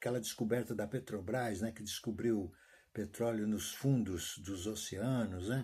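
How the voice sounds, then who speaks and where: With fairly even intonation, a man speaks at fairly low pitch in a dark, mellow tone. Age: 70s. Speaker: retired teacher vlogger. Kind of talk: casual monologue vlog. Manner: halting, repetitive.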